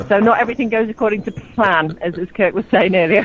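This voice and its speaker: A woman's fairly quick delivery comes through noticeable background noise. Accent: English. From southern England, Oxford. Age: 40s. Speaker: radio host calling in. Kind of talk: casual radio chat. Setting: phone call from outdoor terrace.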